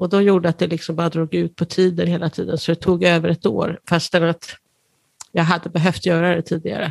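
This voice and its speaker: In a dry, close sound with no echo, a woman with a fairly low pitch speaks with vocal fry and fairly even intonation. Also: fairly quick pace. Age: 60s. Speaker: patient with cystic fibrosis. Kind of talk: interview.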